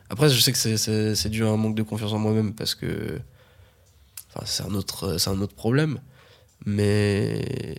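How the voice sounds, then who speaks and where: A man talks at a very slow pace in a fairly low pitch. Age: 20s. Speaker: podcast guest. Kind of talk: casual chat.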